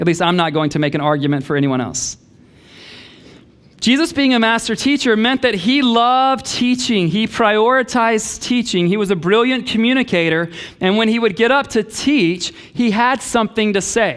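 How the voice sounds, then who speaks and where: This man's voice is high-pitched, with lively intonation and very even loudness. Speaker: pastor. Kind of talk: sermon. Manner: fast.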